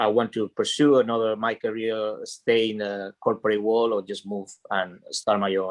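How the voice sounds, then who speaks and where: With a Spanish accent, a man of medium pitch talks with fairly even intonation. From Spain. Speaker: franchise owner, former corporate employee. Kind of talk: panel discussion. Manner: halting.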